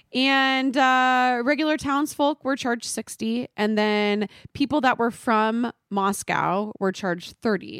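A woman with a Californian accent speaks very slowly in a high voice, hardly pausing, on a very clean recording with a silent background. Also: ordinary pitch variation. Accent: US West Coast, valley girl. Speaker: podcast host. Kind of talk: casual chat.

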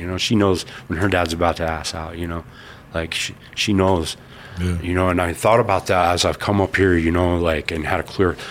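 Against noticeable background noise, a man with an American accent speaks at a moderate pace, his very deep, low voice monotone and flat. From Colorado Springs, US. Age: 40s. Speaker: person in addiction recovery. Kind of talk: interview testimony.

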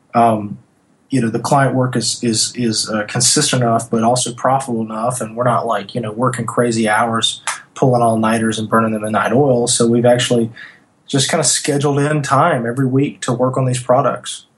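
The speaker has a Southern US accent and a fairly quick pace. The intonation is monotone and flat. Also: man, medium pitch for a man. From US South, North Louisiana. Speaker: design agency owner. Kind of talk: interview.

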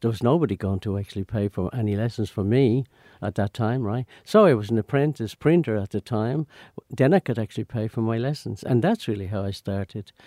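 Speaking at a fairly quick pace, a man with a dark, mellow tone and medium pitch uses ordinary pitch variation in a dry, close sound with no echo. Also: very clean recording, silent background. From Ireland. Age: 80s+. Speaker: dancer and choreographer. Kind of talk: interview. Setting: studio. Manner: halting, many hesitations and repeated words.

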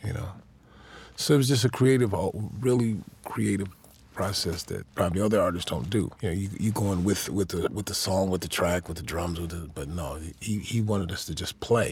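The voice is somewhat breathy, with an American accent. It moves at a fairly quick pace with ordinary pitch variation. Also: man. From Chicago, Illinois. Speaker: drummer and music producer. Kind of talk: interview. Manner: casual, laughs often.

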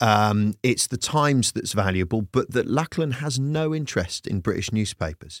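Speaking at a moderate pace with hardly any pauses, a man has a normal speaking voice at a medium pitch, with a dry, close sound and no echo. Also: lively intonation, very clean recording, silent background. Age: 50s. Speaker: comedian. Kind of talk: casual chat.

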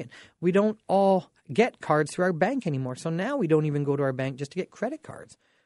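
Over a quiet background, a man with a dark, mellow tone and a fairly high pitch speaks at a fairly quick pace with lively intonation. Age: 40s. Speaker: radio host and mortgage broker. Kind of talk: casual radio talk show monologue.

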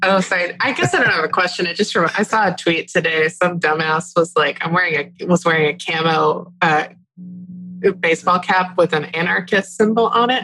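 A woman's fairly low voice with an American accent, a normal speaking voice at a moderate pace, with very even loudness and fairly even intonation. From Texas. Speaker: podcast co-host. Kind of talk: casual chat.

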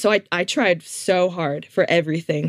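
With an unremarkable speaking voice, a woman talks at a fairly slow pace in a fairly low pitch and fairly even intonation. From Canada, Toronto suburbs. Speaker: former student, counseling student. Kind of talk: testimony.

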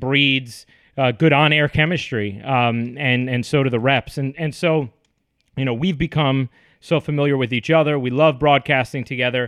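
At a moderate pace, a man with an unremarkable speaking voice talks with fairly even intonation. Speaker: sports broadcaster. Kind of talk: interview.

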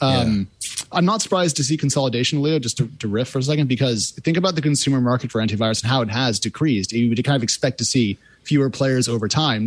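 Talking very fast with lively intonation, a man holds a medium pitch. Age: 30s. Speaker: tech reporter. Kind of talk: panel discussion. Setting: remote call.

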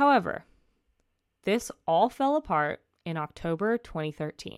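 On a very clean recording with a silent background and a dry, close sound with no echo, a woman talks at a medium pitch and fairly slow pace. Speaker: true crime podcast host. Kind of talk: casual storytelling narration. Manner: casual, with fillers and laughter.

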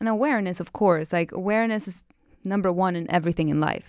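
This woman speaks at a very fast pace. Her pitch sits in the medium range. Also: very clean recording, silent background. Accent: Cuban. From Cuba. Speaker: tantra teacher. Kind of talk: casual interview chat.

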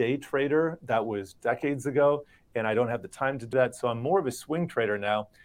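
An unremarkable speaking voice from a man with an American accent, medium pitch and ordinary pitch variation. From US, Miami. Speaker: financial markets reporter. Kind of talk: interview.

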